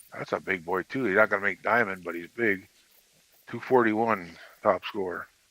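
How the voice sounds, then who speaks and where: With a bright, sharp tone and fairly low pitch, a man talks at a moderate pace with fairly even intonation, the sound dry and close with no echo. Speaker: gaming co-player. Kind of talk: casual gaming chat.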